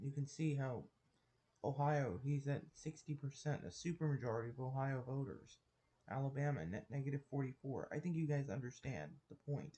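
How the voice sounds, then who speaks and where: Somewhat breathy delivery at a moderate pace, with fairly even intonation. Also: man. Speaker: political commentary youtuber. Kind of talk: casual commentary over poll maps. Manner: halting, many restarts and fillers; casual and informal.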